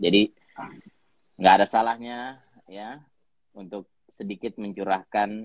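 The man's pitch is fairly low. The sound is dry and close with no echo. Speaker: co-host, leadership community founder. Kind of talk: casual chat. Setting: video call.

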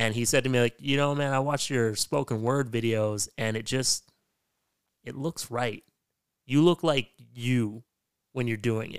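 A man at medium pitch, fairly slow, with long, frequent pauses, ordinary pitch variation and a dry, close sound with no echo. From western Canada. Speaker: podcast host, poet and spoken word artist. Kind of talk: casual interview chat.

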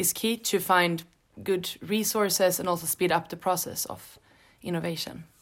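In a very clean recording with a silent background, a woman with a Swedish accent speaks at medium pitch and a fairly slow pace, her intonation fairly even. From Sweden. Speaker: graduate student. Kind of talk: interview.

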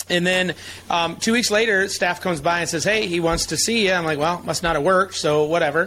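Very even loudness at a fairly quick pace, with noticeable background noise. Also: man, high pitch for a man. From Michigan, US. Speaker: chiropractic advocacy leader. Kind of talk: interview storytelling. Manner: animated.

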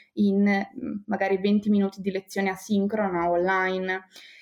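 This woman has a medium pitch. Her intonation is monotone and flat. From Bologna, northern Italy. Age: 20s. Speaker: primary school teacher. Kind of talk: interview.

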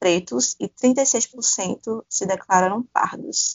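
A woman speaks at a medium pitch and a very slow pace. Her pitch varies in an ordinary way. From Pernambuco, Brazil (Paudalho). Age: 20s. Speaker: podcast host, journalism student. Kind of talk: casual conversational podcast discussion.

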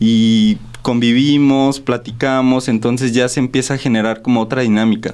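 A man talks in a plain, everyday voice. His pitch is medium and his intonation fairly even. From Irapuato, Guanajuato, Mexico. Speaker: visual artist. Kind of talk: radio interview. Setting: radio studio.

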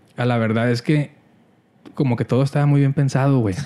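Fairly even intonation in a dark, mellow male tone. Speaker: podcast co-host. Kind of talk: casual chat.

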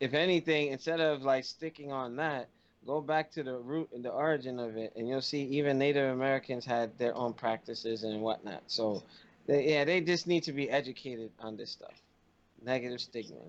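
A man with a plain, everyday voice speaks at a medium pitch and a fairly quick pace, with ordinary pitch variation. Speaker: podcast co-host. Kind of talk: casual chat.

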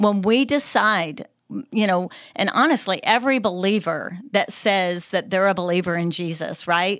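A woman with an American accent has an ordinary speaking voice at medium pitch, with ordinary pitch variation. She talks at a moderate pace on a very clean recording with a silent background. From upstate New York. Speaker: associate pastor. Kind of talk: casual chat.

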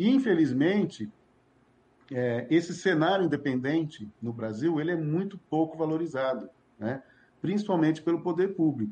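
Lively intonation at a moderate pace, in an ordinary speaking voice. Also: man, fairly high pitch for a man. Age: 50s. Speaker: cultural manager. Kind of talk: interview.

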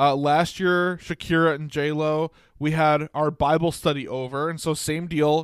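Dry and close with no echo, this very clean recording with a silent background has a man at a fairly high pitch speaking at a fairly slow pace in monotone, flat intonation with hardly any pauses. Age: 20s. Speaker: sports podcast co-host. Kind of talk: casual chat.

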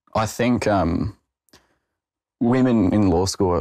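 Here a man speaks at a fairly low pitch in an Australian accent. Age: 20s. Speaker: junior lawyer. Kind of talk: interview testimony.

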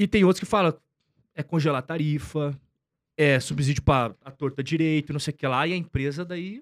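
Using a normal speaking voice, a man speaks at a moderate pace with a fairly high pitch and ordinary pitch variation, the sound dry and close with no echo. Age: 30s. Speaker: investor and finance content creator. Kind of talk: casual interview chat.

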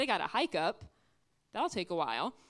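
A loud woman's voice with very wide pitch swings on a very clean recording with a silent background. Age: 20s. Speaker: guest preacher. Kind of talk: sermon. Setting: church.

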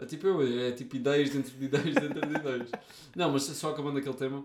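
Speaking at a medium pitch, a man delivers his words in a monotone, flat intonation. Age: 40s. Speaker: podcast co-host. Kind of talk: casual chat.

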